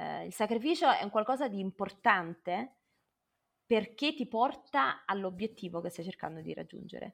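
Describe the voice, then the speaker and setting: A woman with a normal speaking voice at medium pitch, moderate pace, lively intonation and big swings in loudness, on a very clean recording with a silent background. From southern Italy, Naples. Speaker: renewable energy professional. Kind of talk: interview.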